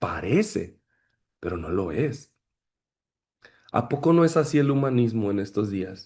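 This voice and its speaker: Dark and mellow in tone, a man speaks at a medium pitch and a fairly slow pace. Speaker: pastor teaching a ministry class. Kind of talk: lecture.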